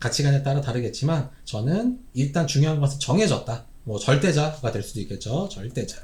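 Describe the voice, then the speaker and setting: Somewhat breathy, a man's voice has a dark, mellow tone and fairly high pitch with very wide pitch swings. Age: 40s. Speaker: Korean medicine doctor, YouTuber. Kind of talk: solo commentary monologue. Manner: casual, with frequent fillers and self-corrections.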